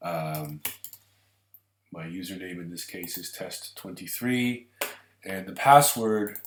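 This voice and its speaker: At a very slow pace, a man talks with a very deep, low pitch and ordinary pitch variation. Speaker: website tutorial maker. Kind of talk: screencast tutorial. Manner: casual, with fillers.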